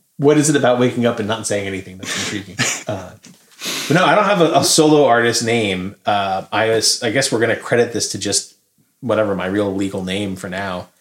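This American-accented speaker uses an ordinary speaking voice at a fairly quick pace, with ordinary pitch variation. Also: man, fairly low pitch for a man. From New Jersey. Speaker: podcast co-host. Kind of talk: casual chat.

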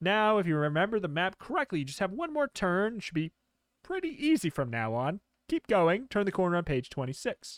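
A man talks at a fairly quick pace in a high voice with very wide pitch swings. The recording is very clean, with a silent background and a dry, close sound with no echo. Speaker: podcast host and gamebook reader. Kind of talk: casual banter with reading a gamebook aloud; ghost story telling, spooky dramatic narration. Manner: playful, jokey, laughs often.

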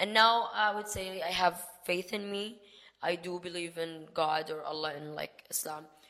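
Noticeable background noise accompanies a woman's fairly low voice. She speaks at a fairly slow pace with fairly even intonation. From Dubai, UAE (Sudanese family). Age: 20s. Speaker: dentistry student. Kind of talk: casual chat.

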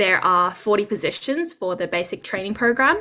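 A woman speaks in an Australian accent at medium pitch. Her tone is bright and sharp, and her pitch varies in an ordinary way. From Sydney, Australia. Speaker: junior doctor. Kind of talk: interview.

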